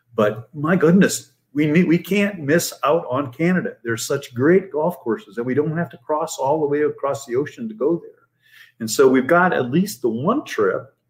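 With an American accent, a man in an ordinary speaking voice talks at a moderate pace, fairly high in pitch and lively in intonation. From Fort Wayne, Indiana, US Midwest. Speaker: professor and author. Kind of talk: casual chat.

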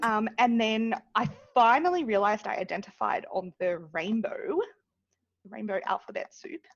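A loud woman's voice with an Australian accent, fairly high in pitch, with very wide pitch swings, at a moderate pace. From Australia, New South Wales (Dubbo). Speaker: community advocate. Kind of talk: casual chat.

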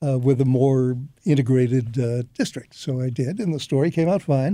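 The tone is dark and mellow, with ordinary pitch variation. The recording is very clean, with a silent background. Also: man. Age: 80s+. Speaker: retired radio newsman. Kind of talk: interview. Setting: studio.

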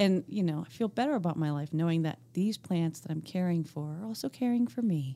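Here is a woman with an American accent and an unremarkable speaking voice. She talks fairly quickly at a fairly low pitch, her intonation lively. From US Northeast, Pennsylvania. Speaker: podcast co-host. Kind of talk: casual educational chat.

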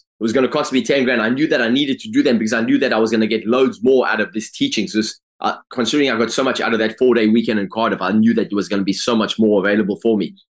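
A man at a very fast pace and medium pitch, with ordinary pitch variation and hardly any pauses. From South Africa, Durban. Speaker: life coach. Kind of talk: life story interview.

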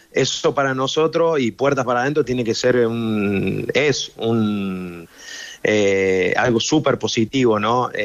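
In an Argentine accent, a man with a medium pitch speaks at a very slow pace, his pitch varying in an ordinary way. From Argentina. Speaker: professional football goalkeeper. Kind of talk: radio interview.

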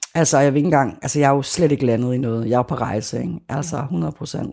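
With a very deep, low pitch, this woman has a dark, mellow tone and vocal fry. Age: 40s. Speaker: former sect member and activist. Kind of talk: interview testimony.

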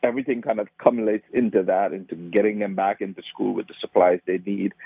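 A man with a Trinidadian accent, fairly low in pitch, at a very fast pace, with fairly even intonation and big swings in loudness. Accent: Trinidadian Caribbean. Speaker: nonprofit founder. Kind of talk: interview.

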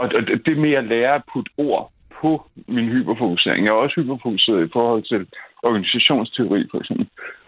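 Pitch shifts in an ordinary way here. The tempo is moderate. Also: man, medium pitch for a man. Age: 30s. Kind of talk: phone-in chat. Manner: halting, many repetitions.

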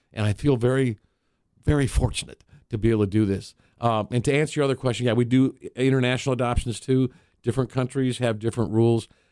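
A man of medium pitch talks at a very fast pace in a dark, mellow tone. His loudness stays very even in a dry, close sound with no echo. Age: 60s. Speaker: nonprofit founder. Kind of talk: radio interview. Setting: studio. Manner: animated storyteller.

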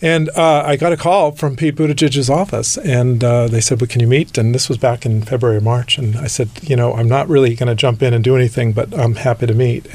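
Noticeable background noise surrounds a man speaking at a fairly quick pace. His pitch is medium and varies in an ordinary way. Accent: American. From Southern California (Whittier). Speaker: nonprofit executive and LGBT fundraiser. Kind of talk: interview.

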